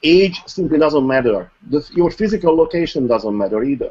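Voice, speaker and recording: Intonation rises and falls in a lively way. A non-native accent is heard. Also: man. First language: not English. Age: old. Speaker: online marketer. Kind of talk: interview. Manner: formal.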